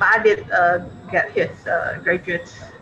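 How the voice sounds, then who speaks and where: With an Indonesian accent, a woman speaks at a moderate pace against light background noise. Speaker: diplomat; webinar moderator. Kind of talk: Q&A discussion. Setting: video call. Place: office. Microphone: video call.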